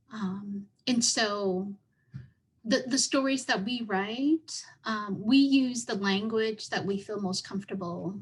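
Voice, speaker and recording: Very slow and somewhat breathy, a woman with a Southeast Asian accent speaks at a fairly high pitch with ordinary pitch variation. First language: Hmong. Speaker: writer. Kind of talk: panel Q&A answer. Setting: virtual event video call. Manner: halting, repeats words.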